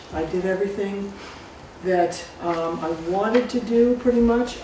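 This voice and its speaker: A woman with an American accent at a medium pitch, plus audible room echo and noticeable background noise. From US Northeast, Salisbury, Connecticut. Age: 70s. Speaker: storyteller. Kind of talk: personal storytelling to a live audience. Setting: stage with audience.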